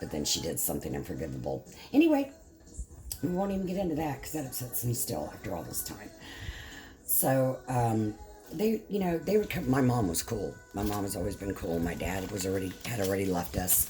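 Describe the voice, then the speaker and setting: Someone with an American accent talks at a fairly quick pace, with audible room echo and music playing in the background. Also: woman. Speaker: craft vlogger. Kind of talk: casual chat.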